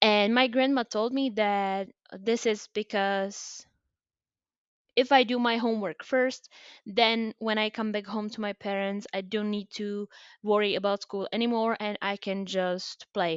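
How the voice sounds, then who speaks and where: A woman's fairly high voice in a Czech accent, fairly slow in pace, with fairly even intonation. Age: 20s. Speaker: podcaster. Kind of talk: personal storytelling monologue. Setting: homemade recording. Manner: hesitant, with fillers.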